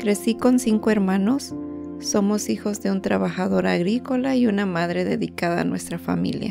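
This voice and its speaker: A woman speaks with a Mexican accent. Music plays in the background. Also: moderate pace. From Guerrero, Mexico. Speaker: healthcare worker. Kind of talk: personal digital story narration.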